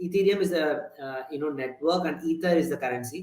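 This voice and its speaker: A man's high-pitched voice at a very fast pace, with audible room echo. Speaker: tech conference speaker. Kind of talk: lecture. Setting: meetup talk with audience. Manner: hesitant, many fillers.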